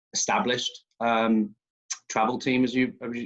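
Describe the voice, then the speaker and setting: A man is speaking. He has a slight English accent. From southern England, West Sussex. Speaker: youth soccer club director. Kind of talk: interview over video call.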